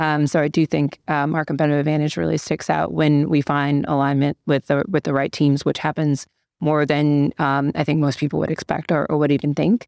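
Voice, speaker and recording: A woman with an American accent and a very deep, low pitch, fairly quick with hardly any pauses, fairly even intonation and very even loudness, dry and close with no echo against a quiet background. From US Midwest, Detroit. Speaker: private equity principal. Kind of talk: podcast interview.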